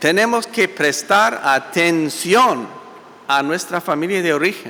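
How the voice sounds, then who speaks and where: Over noticeable background noise, a man with a high pitch talks at a very slow pace with lively intonation. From US, Italian-American family. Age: 60s. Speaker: pastor. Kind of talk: sermon. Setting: church.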